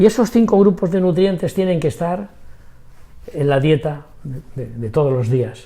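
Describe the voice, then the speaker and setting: Speaking at a fairly slow pace, a man with a fairly high pitch and a dark, mellow tone makes very wide pitch swings and big swings in loudness. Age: 80s+. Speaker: macrobiotics doctor. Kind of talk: interview. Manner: energetic.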